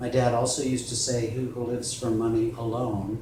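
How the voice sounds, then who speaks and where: A man's medium-pitched voice at a moderate pace, monotone and flat, with audible room echo and noticeable background noise. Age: 60s. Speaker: personal injury lawyer. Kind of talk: interview.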